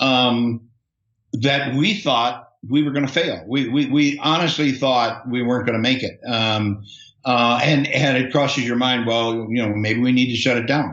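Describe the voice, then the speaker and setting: A man's medium-pitched voice at a fairly slow pace, with very even loudness. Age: 60s. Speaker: software entrepreneur. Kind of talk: interview. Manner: halting, many fillers and repetitions.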